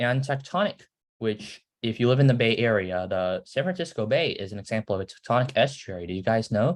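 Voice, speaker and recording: A man with a plain, everyday voice, medium in pitch, fairly quick and lively, over a quiet background. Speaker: student presenter teaching science. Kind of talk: lecture. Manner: casual, filler-heavy.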